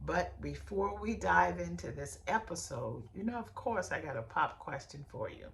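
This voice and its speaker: A woman's animated speech with hardly any pauses, over noticeable background noise. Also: moderate pace. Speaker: podcast host and beauty industry coach. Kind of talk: podcast monologue.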